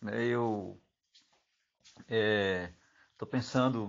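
With fairly even intonation, a man talks in a medium pitch for his voice. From Bahia, Brazil. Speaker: local resident speaking to his uncle. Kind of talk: recorded voice message. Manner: halting, many fillers.

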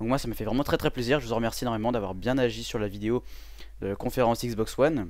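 This man talks at a very fast pace with a medium pitch. His pitch varies in an ordinary way. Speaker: gaming youtuber. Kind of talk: channel update vlog. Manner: hesitant, many fillers.

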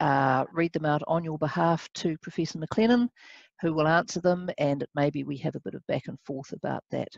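A woman speaks at a very deep, low pitch, with a dry sound and no echo. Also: quiet background. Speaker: webinar host. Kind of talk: moderator introduction. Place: office. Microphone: headset.

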